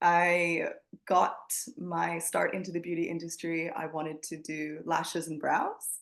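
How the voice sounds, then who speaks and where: Her intonation fairly even, a woman speaks at a fairly slow pace and a fairly low pitch. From Canada. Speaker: scalp micropigmentation specialist and trainer. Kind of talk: interview. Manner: casual, chatty.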